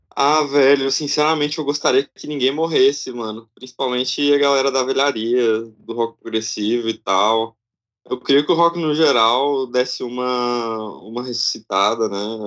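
Speaking at a moderate pace, a man uses a plain, everyday voice of medium pitch with ordinary pitch variation. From Brazil, Tocantins. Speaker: music producer. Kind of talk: casual chat.

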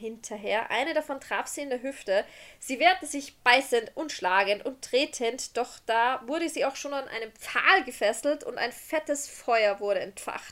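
A woman speaks at a fairly slow pace in a high pitch with lively intonation. The recording is very clean, with a silent background. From Austria. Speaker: podcast host. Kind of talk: storytelling; casual chat.

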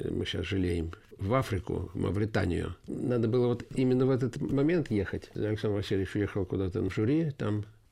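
A man's dark, mellow, fairly low voice, somewhat breathy, with lively intonation at a fairly quick pace, on a very clean recording with a silent background. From Yelets, Lipetsk region, Russia. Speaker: folk musician and composer. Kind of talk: interview.

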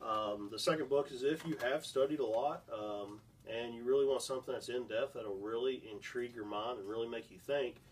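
A man speaks in a plain, everyday voice at a medium pitch. His pace is moderate and his pitch variation ordinary. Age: 20s. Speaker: former youth pastor, podcast host. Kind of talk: casual Bible discussion.

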